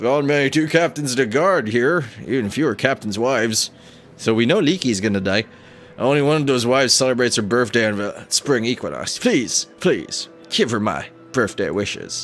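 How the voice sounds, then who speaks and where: In a gruff, put-on character voice, the speaker moves at a moderate pace with lively intonation as clear music plays in the background. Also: man, medium pitch for a man. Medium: game stream.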